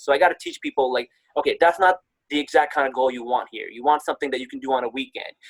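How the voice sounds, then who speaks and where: A man with an American accent is recorded with a dry, close sound that has no echo. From Newark, New Jersey, US. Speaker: construction manager and speaker. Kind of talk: podcast interview. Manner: articulate, engaging.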